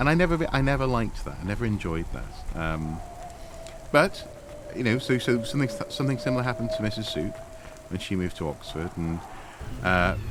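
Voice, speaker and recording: Amid noticeable background noise and audible room echo, a man at a medium pitch talks fairly quickly with very wide pitch swings and long, frequent pauses. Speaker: video game streamer. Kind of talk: casual chat during game stream. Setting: home office.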